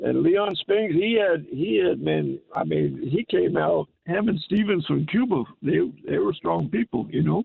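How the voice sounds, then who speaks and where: A man talking at a fairly slow pace, with very even loudness and hardly any pauses. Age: 60s. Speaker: radio caller. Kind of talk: call-in radio chat. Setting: phone call. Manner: halting, repeats words.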